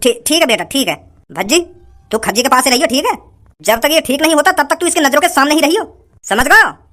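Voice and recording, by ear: A cartoonish character voice, pitched high and talking very fast. Long pauses break it up often.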